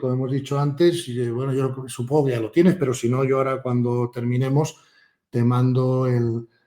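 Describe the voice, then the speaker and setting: A man at medium pitch speaks at a moderate pace in a dark, mellow tone with fairly even intonation. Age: 60s. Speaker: author and spiritual teacher. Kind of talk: interview conversation.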